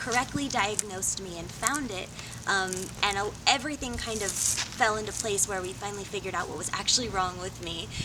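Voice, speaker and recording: A woman speaks at a medium pitch with ordinary pitch variation, her voice carrying audible room echo over noticeable background noise. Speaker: singer-songwriter and cosplayer. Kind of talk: interview monologue. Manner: frequent fillers.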